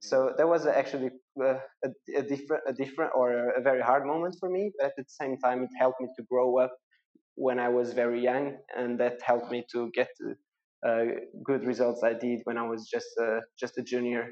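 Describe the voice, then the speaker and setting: In a Portuguese accent, a man at medium pitch speaks at a fairly quick pace with fairly even intonation. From Portugal. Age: 20s. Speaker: professional triathlete. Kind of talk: interview. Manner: halting.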